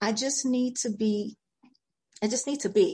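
Somewhat breathy speech moves at a moderate pace with lively intonation. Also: woman. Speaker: real estate agent and public speaking expert. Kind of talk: casual interview chat.

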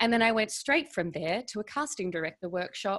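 A woman with an Australian accent speaks at a fairly quick pace. Her intonation is lively. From Melbourne, Australia. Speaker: actress and financial coach. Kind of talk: casual interview chat. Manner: animated.

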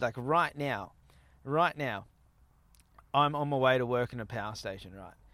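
With an Australian accent, a man speaks at medium pitch and a moderate pace, showing ordinary pitch variation, big swings in loudness, and long, frequent pauses. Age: 30s. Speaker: podcast host. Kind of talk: casual interview chat. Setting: outdoors at a campsite. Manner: animated.

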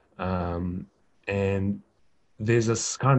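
A man speaks with a New Zealand accent at a fairly low pitch. His intonation is fairly even, and the background is quiet. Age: 40s. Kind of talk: interview. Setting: video call. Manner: halting.

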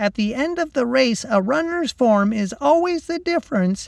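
A put-on character voice with fairly high pitch. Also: moderate pace. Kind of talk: polished, instructional, like a training video. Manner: mimicking, imitative.

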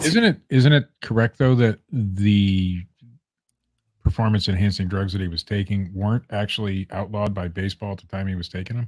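Recorded dry and close with no echo against a silent background, a man with an American accent speaks in an unremarkable speaking voice at a fairly low pitch and a fairly quick pace, with ordinary pitch variation and big swings in loudness. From Ohio. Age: 40s. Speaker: podcast co-host. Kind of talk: casual chat.

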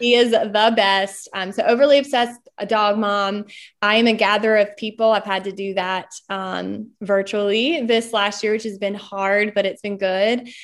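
Against a quiet background, a woman with medium pitch and fairly even intonation talks in a plain, everyday voice. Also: moderate pace. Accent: American. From Eastern North Carolina (Smithfield). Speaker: entrepreneur and speaker. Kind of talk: casual interview. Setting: video call.

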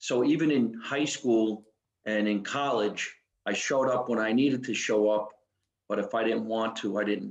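With a New Jersey accent, the speaker keeps a moderate pace and fairly even intonation. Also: man, medium pitch for a man. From New Jersey, US. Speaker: comedian. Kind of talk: casual chat.

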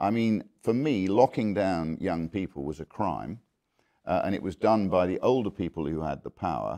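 A man's very deep, low voice with a dark, mellow tone and vocal fry, dry and close with no echo, over a quiet background. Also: lively intonation, moderate pace. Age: 60s. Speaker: businessman and former politician. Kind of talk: interview. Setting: conference venue.

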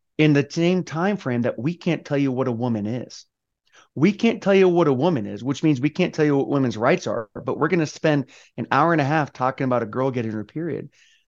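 Against a quiet background, a man talks at a fairly quick pace with a fairly high pitch and lively intonation. He has an ordinary speaking voice. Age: 40s. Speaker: army veteran, podcast host. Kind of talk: interview.

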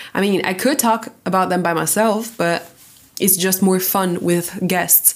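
Speech moves at a fairly slow pace with fairly even intonation and very even loudness. Noticeable background noise runs underneath. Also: woman, medium pitch for a woman. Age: 20s. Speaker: podcast host. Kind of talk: casual solo chat.

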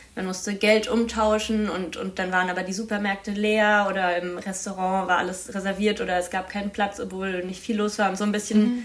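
Over noticeable background noise and audible room echo, a woman talks fairly quickly at a medium pitch with monotone, flat intonation. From Baden-Württemberg, near Freiburg. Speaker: master's student, youth council member. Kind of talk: casual interview.

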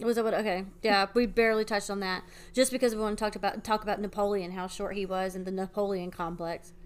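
Very fast, nearly pause-free delivery in a flat monotone, on a very clean recording with a silent background. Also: woman, medium pitch for a woman. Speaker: podcast co-host. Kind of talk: casual chat.

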